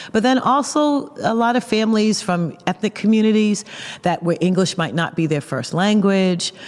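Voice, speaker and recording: Through noticeable background noise comes a woman with medium pitch and lively intonation. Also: moderate pace, very even loudness. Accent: Boston. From Boston, Massachusetts. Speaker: pastor and seminary teacher. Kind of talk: interview conversation. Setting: recorded at a conference.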